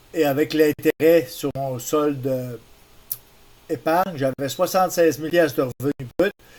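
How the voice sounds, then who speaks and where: A man with a Quebec accent, fairly high in pitch and fairly slow in pace, with fairly even intonation and a dry, close sound with no echo. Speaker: tutorial maker. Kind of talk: tutorial.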